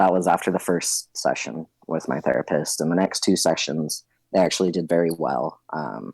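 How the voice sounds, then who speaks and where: A man's very deep, low voice with an American accent, vocal fry and ordinary pitch variation, at a fairly slow pace in a dry, close sound with no echo. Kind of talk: casual interview. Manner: casual, hesitant with fillers.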